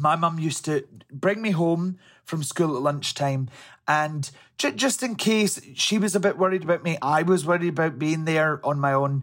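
The recording is very clean, with a silent background. A man with a Scottish accent speaks at a fairly high pitch with ordinary pitch variation. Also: moderate pace. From Scotland, Helensburgh. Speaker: interview guest. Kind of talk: interview. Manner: halting, some repetitions.

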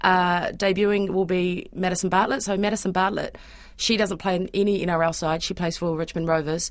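With a New Zealand accent, a woman speaks at a fairly quick pace and a medium pitch in a monotone, flat intonation. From Auckland, New Zealand. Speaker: freelance sports broadcaster. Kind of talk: casual chat.

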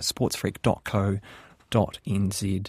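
A man with a New Zealand accent sounds somewhat breathy, recorded dry and close with no echo. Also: very clean recording, silent background. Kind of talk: radio interview. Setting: studio.

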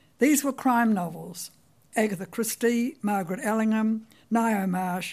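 A somewhat breathy, dark and mellow voice with a New Zealand accent moves at a fairly slow pace on a very clean recording with a silent background. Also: woman. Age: 90s. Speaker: writer telling her life story. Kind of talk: memoir talk. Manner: storytelling, wry.

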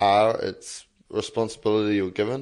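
Spoken with a New Zealand accent, the voice stays monotone and flat over a quiet background. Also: man. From New Zealand, Lower Hutt. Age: 20s. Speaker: young interviewee. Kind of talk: interview.

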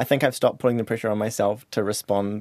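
A man speaks with a New Zealand accent. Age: 30s. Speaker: high school teacher. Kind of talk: interview.

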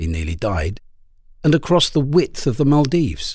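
Very wide pitch swings mark this man's speech. He keeps to a moderate pace. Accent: British. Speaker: narrator reading articles. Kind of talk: reading aloud.

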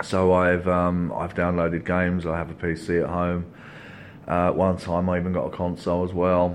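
Against audible room echo, a man speaks at a moderate pace in a very deep, low pitch with monotone, flat intonation. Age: 40s. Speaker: recovering gaming addict. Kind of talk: testimony.

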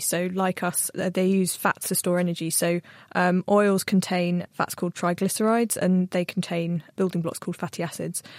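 This woman has a normal speaking voice at a medium pitch, talking at a fairly quick pace with hardly any pauses. The sound is dry and close, with no echo. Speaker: plant scientist and journal features editor. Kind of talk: casual panel Q&A. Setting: studio.

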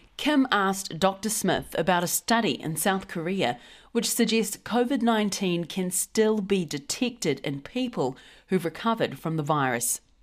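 Moderate pace, very wide pitch swings and a New Zealand accent, on a very clean recording with a silent background. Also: woman, medium pitch for a woman. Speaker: podcast host. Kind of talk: news podcast presenting.

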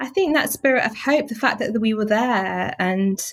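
A woman speaks with a Mancunian accent. Her pace is moderate and her intonation lively. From Manchester, northern England. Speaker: journalist and author. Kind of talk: interview.

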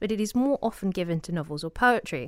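Lively in intonation and fairly quick in pace, a woman with a plain, everyday voice speaks at a medium pitch on a very clean recording with a silent background. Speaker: books podcast host. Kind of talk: casual discussion.

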